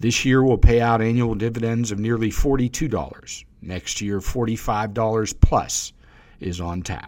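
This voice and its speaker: With an American accent, a man uses an ordinary speaking voice at a medium pitch, ordinary pitch variation and a moderate pace, his loudness swinging widely. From US South. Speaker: financial advisor podcast host. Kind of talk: scripted monologue. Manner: many filler words.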